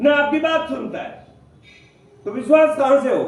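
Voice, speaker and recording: A man speaks at an extremely high pitch, with audible room echo. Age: 60s. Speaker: direct selling leader / motivational speaker. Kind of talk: motivational seminar talk.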